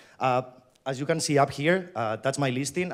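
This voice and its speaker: A man's medium-pitched voice with a Spanish accent and ordinary pitch variation, in a very clean recording with a silent background. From Spain. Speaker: company employee, event host. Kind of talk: conference keynote. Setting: stage with audience.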